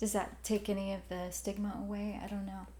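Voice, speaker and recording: A woman at a moderate pace, with an American accent. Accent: Southern accent, suppressed. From Alabama, US South. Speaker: podcast co-host. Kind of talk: casual chat.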